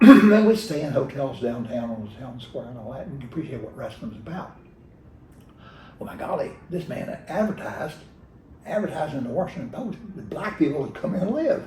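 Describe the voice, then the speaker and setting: Noticeable background noise runs behind a man with an American accent. He talks at a fairly quick pace with a fairly high pitch and very wide pitch swings. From rural Virginia, USA. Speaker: retired state legislator. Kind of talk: oral history interview answer. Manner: hesitant, with fillers and repetitions.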